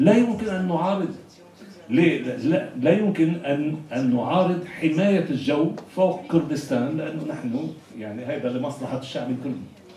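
Very slowly and with lively intonation, a man of fairly high pitch speaks amid audible room echo and light background noise. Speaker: panelist, political activist; panelist. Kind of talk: panel discussion. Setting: simultaneous interpretation event. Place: hall.

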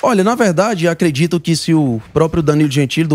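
Faint music plays in the background as a man speaks at a fairly high pitch. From Ceará, Brazil. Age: 20s. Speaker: federal deputy, politician; interview guest, politician. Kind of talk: talk show interview. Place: studio. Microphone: handheld.

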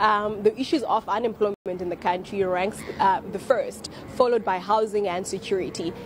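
A woman at a fairly quick pace, with ordinary pitch variation and noticeable background noise. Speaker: survey researcher. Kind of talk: news interview. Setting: remote link to TV studio.

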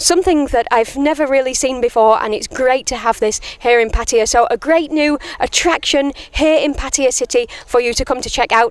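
Speaking at a moderate pace, a woman with a high-pitched voice shows ordinary pitch variation in a dry recording with no echo. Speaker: TV presenter. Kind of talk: presenter piece to camera. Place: open country. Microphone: handheld.

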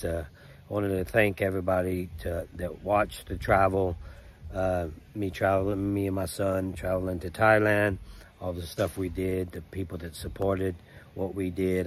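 A man speaks at a very deep, low pitch with flat, monotone intonation. The sound is dry, with no echo. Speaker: travel vlogger. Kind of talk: casual vlog chat. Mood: weary but grateful. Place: garden. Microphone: phone near.

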